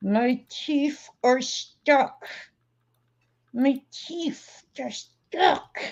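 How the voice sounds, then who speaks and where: In a put-on character voice, a woman speaks very slowly at a high pitch. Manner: speaking through clenched teeth.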